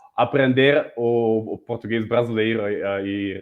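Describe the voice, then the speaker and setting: Medium in pitch, a man speaks at a very slow pace with fairly even intonation. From Germany (Berlin). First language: German (speaking Portuguese). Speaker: multimedia artist and guest. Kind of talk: interview chat. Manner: halting, many repetitions.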